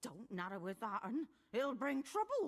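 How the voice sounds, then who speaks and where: At a moderate pace, a put-on character voice swings very widely in pitch. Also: woman. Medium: video game. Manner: curt, nagging.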